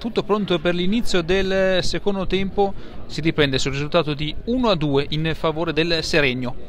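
A man's high-pitched voice at a fairly quick pace, dry with no echo, over light background noise. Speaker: football commentator. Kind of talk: live sports commentary of a match. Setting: stadium, commentating from the ground. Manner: fast, breathless, excitable play-by-play; rising intensity at goals and penalties. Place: stadium.

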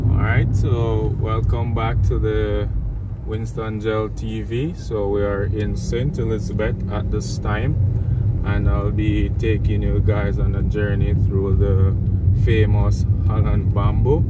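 Speech comes at a very slow pace in a dry sound with no echo, under loud background noise. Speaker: vlogger driving. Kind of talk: casual vlog commentary. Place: car. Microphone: phone near.

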